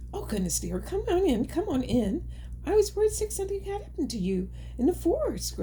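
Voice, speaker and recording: A put-on character voice at a fairly quick pace, over clear background noise. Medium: read story.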